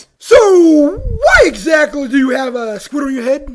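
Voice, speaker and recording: This is a put-on character voice with a high pitch. It moves at a moderate pace in an upbeat tone. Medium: audio drama. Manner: upbeat, excitable.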